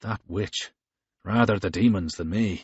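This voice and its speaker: Putting on a growling character voice, a man speaks at a fairly low pitch and a moderate pace with fairly even intonation. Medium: read story.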